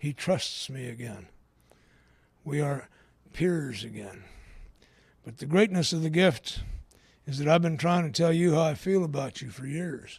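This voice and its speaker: A man's somewhat breathy, fairly high voice at a fairly slow pace, with long, frequent pauses and big swings in loudness. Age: 60s. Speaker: AA speaker. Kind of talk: recovery talk.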